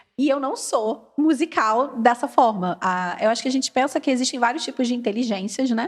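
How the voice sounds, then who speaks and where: In a Carioca accent, a woman speaks at a high pitch and moderate pace. She has ordinary pitch variation and hardly any pauses. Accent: carioca Brazilian. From Brazil, Rio de Janeiro. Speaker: English education specialist. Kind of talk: casual podcast chat.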